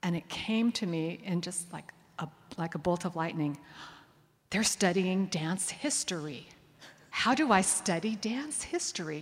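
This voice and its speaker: A woman with an American accent speaks at a fairly slow pace and medium pitch, her voice somewhat breathy, her intonation lively, with long, frequent pauses. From US Northeast, Connecticut suburbs of New York. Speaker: dance historian and professor. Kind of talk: onstage interview. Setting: stage with audience.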